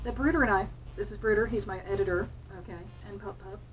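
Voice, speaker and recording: In an American accent, a woman speaks with audible room echo. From New Jersey, US. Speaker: hobby vlogger, medical-system tech worker. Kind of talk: casual chat. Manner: chatty, many filler ums.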